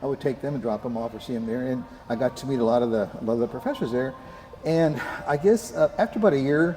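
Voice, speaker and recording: Talking at a very fast pace with lively intonation, a man with a medium pitch is heard over noticeable background noise. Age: 70s. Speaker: Brazilian jiu-jitsu practitioner. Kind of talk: interview. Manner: halting, many fillers.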